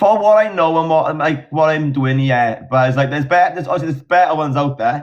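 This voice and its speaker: A man with a Welsh accent talks at a fairly quick pace, his pitch fairly high with ordinary variation. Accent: Welsh, mistaken for Australian. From South Wales valleys. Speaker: agency team manager, live streamer. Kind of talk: casual chat.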